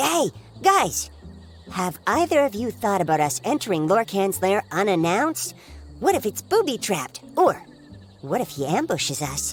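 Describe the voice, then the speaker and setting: A cartoonish character voice at a middle pitch. Music plays clearly in the background. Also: moderate pace. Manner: stammering, excitable.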